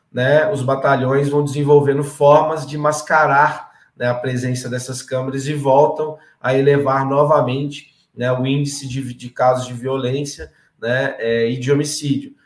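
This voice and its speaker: Somewhat breathy, fairly high male voice in a flat monotone, at a moderate pace. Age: 30s. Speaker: political candidate and activist. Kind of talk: political interview. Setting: live stream.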